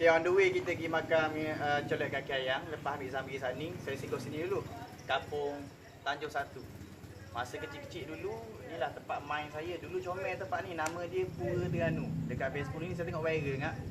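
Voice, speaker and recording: Over noticeable background noise and audible room echo, a man talks fairly quickly at a fairly high pitch with ordinary variation. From Terengganu, Malaysia. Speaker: vlogger. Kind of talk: travel vlog. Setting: outdoors. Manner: casual.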